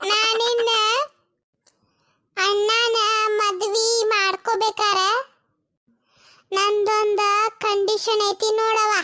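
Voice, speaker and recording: This woman uses a cartoonish character voice with extremely high pitch. Her delivery is very slow and monotone, with flat intonation. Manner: blunt, demanding.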